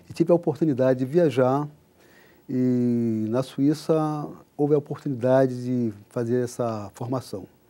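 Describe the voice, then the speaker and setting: On a very clean recording with a silent background, a man with a dark, mellow tone talks at a medium pitch and a fairly slow pace, with ordinary pitch variation. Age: 60s. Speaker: NGO country director. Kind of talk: TV interview. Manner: hesitant, many filler sounds.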